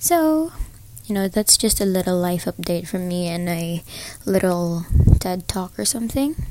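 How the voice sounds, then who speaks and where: Over noticeable background noise, a woman speaks at a moderate pace and medium pitch with lively intonation. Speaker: podcaster. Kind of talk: casual monologue.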